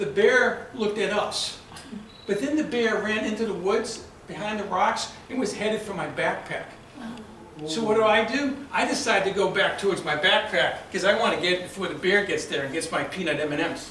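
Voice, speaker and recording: With an American accent, a man speaks at a moderate pace in a high pitch, his tone animated and intonation lively, over noticeable background noise and audible room echo. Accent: Boston accent, shows when excited. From Boston area, US. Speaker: club speaker. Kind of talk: prepared speech. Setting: club meeting with audience. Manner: storytelling, animated.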